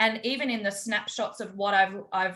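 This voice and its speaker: A woman with an Australian accent has a bright, sharp tone at medium pitch, fairly even intonation, and a moderate pace. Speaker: holistic health practitioner and call host. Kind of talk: online group call hosting, interview.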